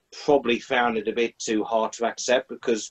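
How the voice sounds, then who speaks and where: A man with a plain, everyday voice, moderate pace and fairly even intonation, over a quiet background. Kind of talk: casual panel discussion. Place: home room. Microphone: video call.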